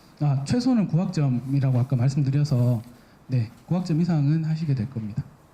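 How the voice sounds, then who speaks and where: At a fairly quick pace, a man speaks with a fairly high pitch, a dark, mellow tone and a somewhat breathy sound. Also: ordinary pitch variation, very even loudness. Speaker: university academic affairs staff. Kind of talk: orientation presentation with Q&A.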